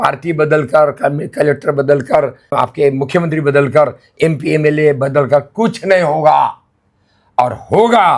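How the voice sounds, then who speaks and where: This man's voice sits at a fairly high pitch and is somewhat breathy. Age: 80s+. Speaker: retired senior civil servant turned monk. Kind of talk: interview.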